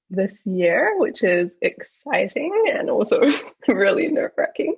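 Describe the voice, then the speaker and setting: A woman speaks with a New Zealand accent. Her pace is very slow. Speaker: junior doctor, paediatric trainee. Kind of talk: casual interview chat.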